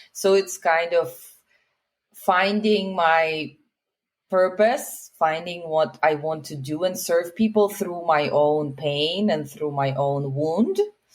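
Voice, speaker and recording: At a very slow pace, a woman with a Russian accent speaks at a fairly low pitch with ordinary pitch variation. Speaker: healer and relationship coach. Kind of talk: podcast interview.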